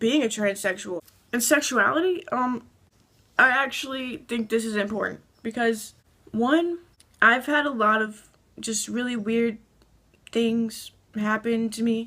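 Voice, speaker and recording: Her voice shaky, a woman with a fairly high pitch and a bright, sharp tone speaks at a fairly slow pace with ordinary pitch variation and long, frequent pauses. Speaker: transgender vlogger. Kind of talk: casual talk to camera. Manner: shaky, anxious.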